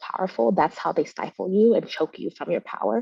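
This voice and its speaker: A woman with a Vietnamese accent and a fairly low pitch speaks at a fairly quick pace. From Vietnamese household, US. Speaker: movement leader, panelist. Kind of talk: panel discussion. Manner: fast.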